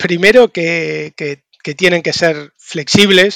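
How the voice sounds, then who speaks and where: With an Argentine accent, a man speaks in a bright, sharp tone through a dry, close sound with no echo. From Argentina. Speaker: tech recruitment entrepreneur, consultant. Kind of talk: casual interview. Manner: halting, repeats words.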